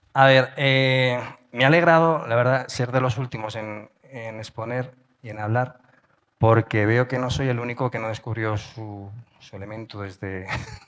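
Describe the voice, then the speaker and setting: This man talks at a fairly slow pace, his medium pitch moving with ordinary variation. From Spain. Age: middle-aged. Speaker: journalist and podcaster. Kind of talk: conference talk. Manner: casual, hesitant with fillers.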